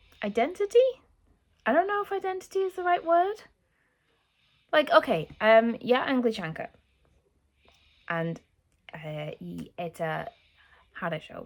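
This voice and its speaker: A woman speaks with a British accent. The recording is very clean, with a silent background. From England. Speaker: YouTuber learning Russian. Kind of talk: vlog talking to camera. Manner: halting, many fillers; emotional, earnest.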